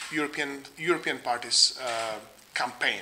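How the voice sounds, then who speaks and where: A man with a Czech accent speaks at a fairly slow pace with ordinary pitch variation. Noticeable background noise runs underneath. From Czech Republic. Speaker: think tank researcher. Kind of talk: lecture. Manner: halting, many fillers.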